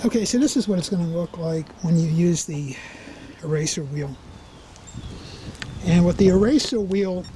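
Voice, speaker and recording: Noticeable background noise sits behind a man with a high pitch. He talks at a moderate pace with ordinary pitch variation. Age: 60s. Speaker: car owner doing DIY project. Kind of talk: tutorial. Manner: casual, conversational.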